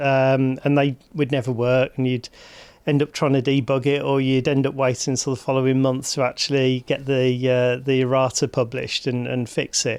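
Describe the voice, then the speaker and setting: A man's medium-pitched voice with a Birmingham accent, monotone and flat in intonation, at a moderate pace and very even loudness. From Birmingham, England. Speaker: hospital digital executive. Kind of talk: interview.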